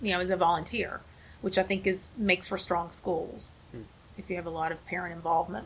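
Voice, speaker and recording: In an American accent, a woman talks at a very fast pace, her somewhat breathy voice set at a fairly low pitch. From West Virginia. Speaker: hospital receptionist. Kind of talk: casual interview.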